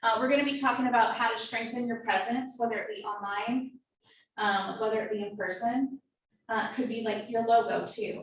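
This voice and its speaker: The speech has ordinary pitch variation and a moderate pace, with audible room echo. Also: woman. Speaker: marketing workshop presenter. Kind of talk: workshop lecture.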